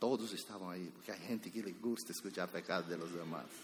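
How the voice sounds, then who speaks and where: A man is speaking. His voice has vocal fry. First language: Spanish (speaking Portuguese). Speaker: pastor. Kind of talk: sermon.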